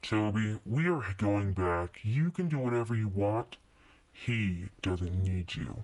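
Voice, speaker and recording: A man's put-on character voice, fairly low in pitch, at a fairly slow pace with lively intonation and very even loudness. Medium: read story. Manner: sullen.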